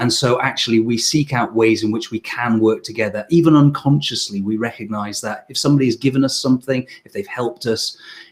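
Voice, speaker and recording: Over noticeable background noise, a man with a medium-pitched voice speaks very fast in fairly even intonation. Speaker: sales trainer and webinar host. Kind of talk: live webinar interview.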